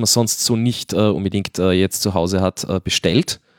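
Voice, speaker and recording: The pace of this man's speech is moderate. The sound is dry and close, without echo. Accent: slight Viennese. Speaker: podcast host. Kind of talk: casual chat. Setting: remote recording link with studio mixer.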